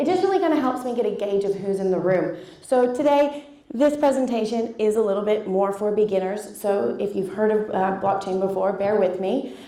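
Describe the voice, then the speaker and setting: A woman speaks fairly quickly at a medium pitch, with ordinary pitch variation. Noticeable background noise and audible room echo surround her. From Canada. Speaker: blockchain educator. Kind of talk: conference presentation. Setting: stage with audience.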